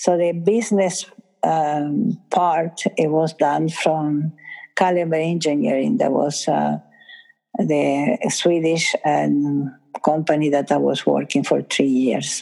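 In an Italian accent, a woman speaks very slowly at a very deep, low pitch. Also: ordinary pitch variation. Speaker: school founder and educator. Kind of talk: interview.

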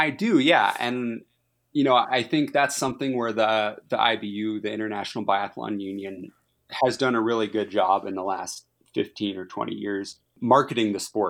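A man with a fairly low pitch and an ordinary speaking voice, moderate pace, ordinary pitch variation, very clean recording with a silent background. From Minnesota, US Midwest. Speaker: professional biathlete and soldier athlete. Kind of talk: interview.

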